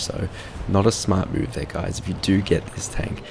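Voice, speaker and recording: Quiet and over noticeable background noise, a man with an Australian accent speaks at a moderate pace in a very deep, low pitch with ordinary pitch variation. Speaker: gaming video reviewer. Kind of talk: game review commentary. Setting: at home, others asleep. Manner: speaking quietly.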